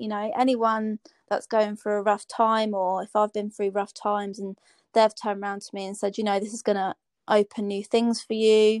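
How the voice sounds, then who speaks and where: A woman speaks at a moderate pace with a fairly high pitch, in a dry, close recording with no echo, very clean and set against a silent background. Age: 30s. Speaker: personal trainer. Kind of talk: casual chat.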